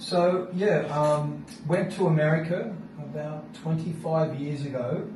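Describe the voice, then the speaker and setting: Amid noticeable background noise and audible room echo, a man with an Australian accent speaks at a fairly high pitch with ordinary pitch variation. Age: 60s. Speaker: interviewee, channel owner. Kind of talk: casual interview chat.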